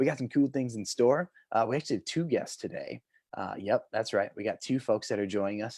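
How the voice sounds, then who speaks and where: On a very clean recording with a silent background and a dry, close sound with no echo, a man speaks at a fairly quick pace. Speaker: talk show host. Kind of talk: casual chat. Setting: home video stream. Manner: loud; animated.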